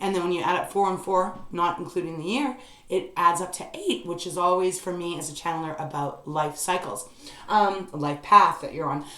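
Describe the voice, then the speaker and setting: The woman's voice sits fairly low in pitch. Room echo is audible, and background noise is noticeable. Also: ordinary pitch variation. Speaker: tarot reader. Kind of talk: tarot reading monologue. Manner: fast; hesitant, many fillers.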